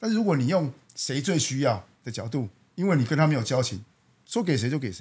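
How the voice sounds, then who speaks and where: A man's somewhat breathy, medium-pitched voice at a very fast pace, with very wide pitch swings and big swings in loudness. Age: 40s. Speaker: company general manager. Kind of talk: interview.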